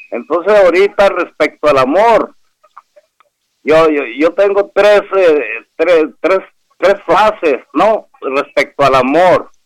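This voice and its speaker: Talking very slowly with long, frequent pauses, a man with a high pitch keeps his loudness very even while his intonation stays lively. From Hermosillo, Sonora, Mexico. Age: 60s. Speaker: caller.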